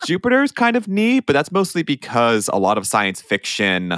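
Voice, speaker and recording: A man with a slight Pittsburgh accent talks at a fairly quick pace with lively intonation in a very clean recording with a silent background. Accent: Pittsburgh-tinged American. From Pennsylvania, US. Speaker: podcast host. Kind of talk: casual chat.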